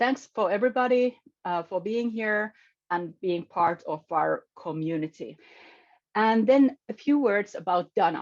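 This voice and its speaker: A woman with a non-native accent, medium pitch, lively intonation and a fairly slow pace. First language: not English. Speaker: meeting facilitator and event host. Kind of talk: online event introduction. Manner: halting.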